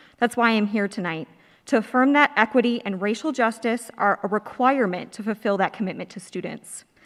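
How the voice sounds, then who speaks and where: A woman's fairly quick, normal speaking voice with an American accent and fairly high pitch, on a very clean recording with a silent background. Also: ordinary pitch variation, big swings in loudness. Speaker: alumna and public commenter. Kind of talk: public comment, prepared statement. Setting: school auditorium board meeting.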